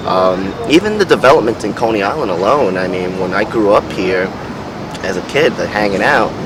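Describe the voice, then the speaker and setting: A man's fairly low voice in a New York accent, at a moderate pace with ordinary pitch variation, over noticeable background noise. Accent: New York City. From New York City, Brooklyn. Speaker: interviewee. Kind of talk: interview. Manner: halting.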